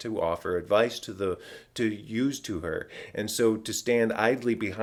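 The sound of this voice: Fairly even intonation carries through an unforced reading voice.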